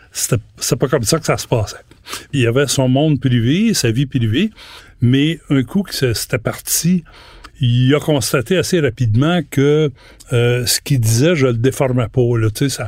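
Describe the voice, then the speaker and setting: Somewhat breathy, a man with a Quebec accent talks at a fairly slow pace and medium pitch, with ordinary pitch variation and long, frequent pauses. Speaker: retired journalist. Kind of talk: interview. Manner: halting.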